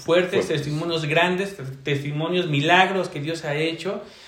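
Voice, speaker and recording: Pitched fairly high, a man talks at a moderate pace with ordinary pitch variation, amid noticeable background noise and audible room echo. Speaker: church evangelism leader. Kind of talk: testimony.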